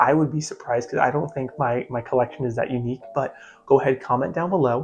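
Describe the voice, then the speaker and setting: With music in the background, a man of medium pitch speaks with ordinary pitch variation. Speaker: plant collector YouTuber. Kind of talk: casual vlog talk. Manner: fast; hesitant, many fillers.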